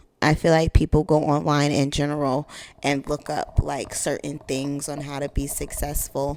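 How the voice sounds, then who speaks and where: In an American accent, a woman with a very deep, low pitch talks at a moderate pace with monotone, flat intonation. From US, Miami, Florida. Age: 20s. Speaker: podcast host. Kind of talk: casual monologue. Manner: casual, filler-heavy.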